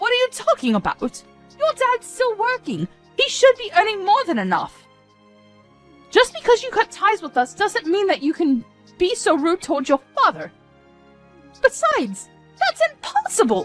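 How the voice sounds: A woman uses a put-on character voice at an extremely high pitch, with very wide pitch swings, a fairly bright tone, long, frequent pauses and faint music in the background, all in a dry, close sound with no echo. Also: moderate pace.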